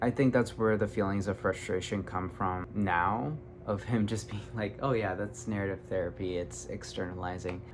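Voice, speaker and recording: With music in the background, a man speaks at a moderate pace and fairly low pitch, with hardly any pauses. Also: lively intonation. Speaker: YouTuber, self-taught artist. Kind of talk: casual vlog monologue. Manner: animated.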